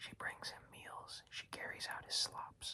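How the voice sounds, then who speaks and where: Someone speaks in a whisper. The pace is moderate. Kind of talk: audiobook reading. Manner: whispered, soft-spoken.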